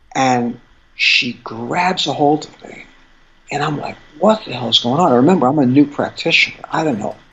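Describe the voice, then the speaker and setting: A man talks at a moderate pace with ordinary pitch variation and big swings in loudness. Noticeable background noise runs under his voice. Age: 60s. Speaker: acupuncturist specializing in fertility. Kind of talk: interview storytelling. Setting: podcast interview. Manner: animated.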